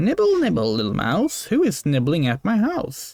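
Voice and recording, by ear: A man's squeaky, high-pitched, put-on character voice at a moderate pace.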